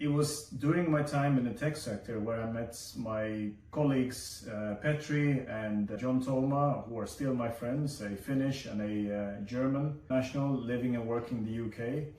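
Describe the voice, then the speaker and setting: A man with a Swedish accent speaks at medium pitch and a moderate pace, with fairly even intonation and hardly any pauses. Noticeable background noise runs behind him. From Sweden. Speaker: vlogger. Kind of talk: personal video essay.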